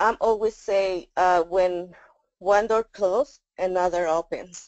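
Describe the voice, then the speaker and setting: Speaking very slowly with a Spanish accent, a woman keeps a medium pitch, fairly even intonation and very even loudness. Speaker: parent advocate. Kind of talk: testimony. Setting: webinar. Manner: halting.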